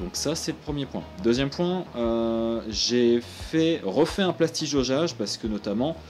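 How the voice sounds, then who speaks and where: A man's medium-pitched voice at a very slow pace, with music in the background. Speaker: car mechanic hobbyist youtuber. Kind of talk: tutorial. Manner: casual, halting with fillers.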